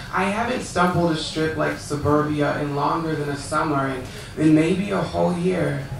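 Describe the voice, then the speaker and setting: With an American accent, a man speaks at a moderate pace and fairly high pitch, his pitch varying in an ordinary way, amid audible room echo and noticeable background noise. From California. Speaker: poet. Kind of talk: poetry reading. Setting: stage with audience.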